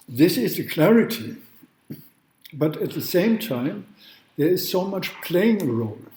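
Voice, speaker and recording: With lively intonation and a high pitch, a man speaks at a fairly slow pace in a room with audible echo. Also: long, frequent pauses. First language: not English. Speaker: law professor. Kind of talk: lecture. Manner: halting.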